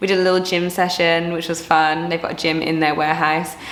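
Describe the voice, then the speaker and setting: Amid noticeable background noise and audible room echo, a woman with an English accent speaks at a very fast pace and fairly low pitch. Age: 30s. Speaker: personal trainer and vlogger. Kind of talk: casual vlog talk to camera. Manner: animated.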